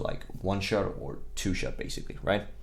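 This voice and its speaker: Ordinary pitch variation marks a man's speech, delivered at a moderate pace in a strong Danish accent. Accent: very strong Danish. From Denmark. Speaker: gaming content creator. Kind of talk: game tutorial. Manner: casual, with fillers.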